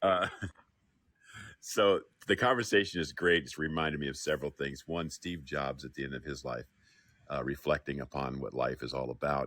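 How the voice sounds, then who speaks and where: With vocal fry and a very deep, low pitch, a man speaks in a bright, sharp tone with ordinary pitch variation, leaving long, frequent pauses. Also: moderate pace. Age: 60s. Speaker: audience member speaking up. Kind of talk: casual chat.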